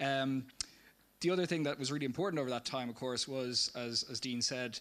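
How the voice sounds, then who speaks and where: A voice with fairly even intonation and a bright, sharp tone. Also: man. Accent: Dublin. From Ireland, Dublin. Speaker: community project presenter. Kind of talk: public presentation.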